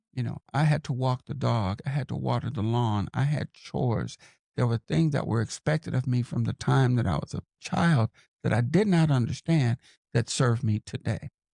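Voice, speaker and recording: A man speaks at medium pitch and a moderate pace, with ordinary pitch variation. His voice is somewhat breathy with a dark, mellow tone, recorded dry and close with no echo. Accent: American. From Los Angeles, California. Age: 60s. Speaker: podcaster and mentor. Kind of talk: interview.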